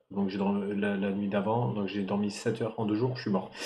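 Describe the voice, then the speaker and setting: Noticeable background noise accompanies a man at a moderate pace. His pitch is fairly low. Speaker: streamer opening trading card packs. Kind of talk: live stream casual chat. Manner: loud; hesitant, many fillers.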